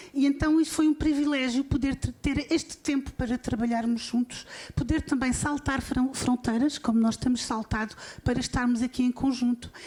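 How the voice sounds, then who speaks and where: A woman with a European Portuguese accent speaks at a high pitch and a moderate pace, her loudness very even and her intonation fairly even. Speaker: university vice-rector. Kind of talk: opening speech at symposium. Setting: conference panel with audience. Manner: halting.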